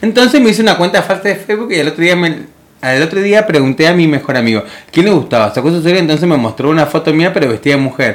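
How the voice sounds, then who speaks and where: The speech is very fast and lively in intonation, with very even loudness and a Rioplatense accent. Noticeable background noise sits behind it. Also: man, fairly high pitch for a man. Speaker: radio host. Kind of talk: casual chat.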